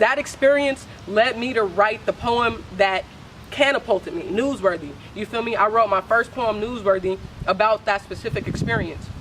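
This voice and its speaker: With noticeable background noise behind her, a woman speaks in an American accent at a fairly high pitch. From San Francisco, California. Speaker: spoken word artist. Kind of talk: casual interview. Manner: halting, filler-heavy.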